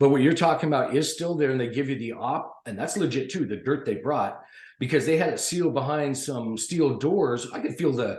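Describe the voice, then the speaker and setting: With audible room echo around him, a somewhat breathy man speaks in a medium pitch with lively intonation and an animated tone. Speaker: podcast panelist. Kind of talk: casual chat. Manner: fast.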